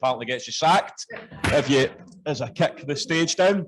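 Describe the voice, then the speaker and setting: A man speaks with a Scottish accent. His pitch varies in an ordinary way. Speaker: party official. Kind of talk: political speech. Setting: conference hall with audience.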